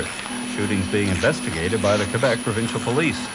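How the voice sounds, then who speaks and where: Music runs behind the speech. The man talks very fast. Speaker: radio newscaster. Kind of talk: radio news bulletin read. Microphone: old recording.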